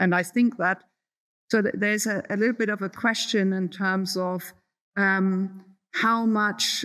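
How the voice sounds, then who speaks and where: A woman with a German accent, fairly slow in pace and monotone, flat in intonation, on a very clean recording with a silent background. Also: medium pitch for a woman. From Germany. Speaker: professor. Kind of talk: Q&A answer. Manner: hesitant, many fillers.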